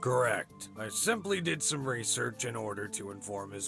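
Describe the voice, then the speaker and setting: Against clear background music, a man puts on a raspy character voice at a medium pitch and a moderate pace. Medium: game stream. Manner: authoritative, curt.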